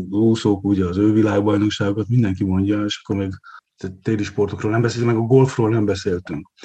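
A man talks with a fairly low pitch and fairly even intonation in an unremarkable speaking voice. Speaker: sports economist, university lecturer. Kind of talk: casual chat.

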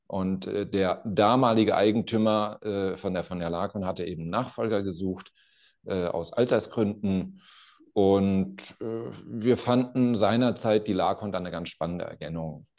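A man with a plain, everyday voice speaks at a fairly low pitch and fairly slow pace, with ordinary pitch variation and a quiet background. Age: 50s. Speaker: company CEO. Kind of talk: interview conversation.

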